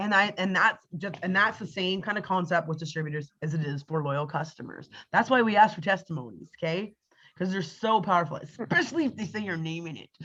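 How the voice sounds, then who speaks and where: Animated and lively in intonation, this woman talks at a fairly quick pace. Her pitch sits at medium. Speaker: network marketing team leader. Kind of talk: team training on a video call. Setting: video call. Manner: fast.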